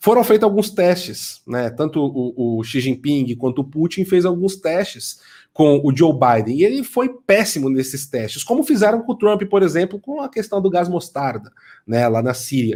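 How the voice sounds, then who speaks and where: A man's high-pitched voice with a dark, mellow tone and very wide pitch swings, on a very clean recording with a silent background. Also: moderate pace. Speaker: author and political commentator. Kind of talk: interview.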